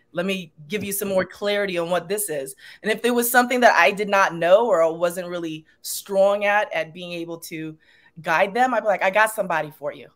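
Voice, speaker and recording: In a Long Island accent, a woman at medium pitch with ordinary variation talks at a fairly quick pace, her loudness swinging widely on a very clean recording with a silent background. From Long Island, New York. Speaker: yoga instructor. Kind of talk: podcast interview.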